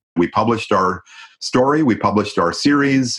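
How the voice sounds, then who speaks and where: A man has a plain, everyday voice. He talks at a moderate pace with ordinary pitch variation. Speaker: founder of homicide data nonprofit, former journalist. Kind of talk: interview.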